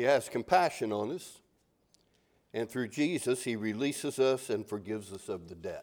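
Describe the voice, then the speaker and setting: In a very clean recording with a silent background, a man speaks at a moderate pace in an unremarkable speaking voice at medium pitch. His intonation is lively, and his loudness takes big swings. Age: 60s. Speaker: pastor. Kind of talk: sermon. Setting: church.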